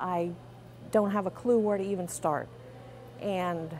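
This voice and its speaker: With an American accent and vocal fry, a woman speaks fairly slowly in a fairly low pitch with lively intonation. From Pennsylvania. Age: 50s. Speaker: cancer survivor. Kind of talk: testimony. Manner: halting.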